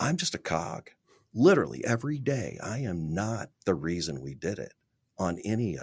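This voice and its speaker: An American-accented man with a fairly low pitch and vocal fry speaks at a moderate pace, his pitch swinging very widely and his loudness rising and falling sharply. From Central Missouri, small town. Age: 60s. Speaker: real estate developer. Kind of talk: podcast interview.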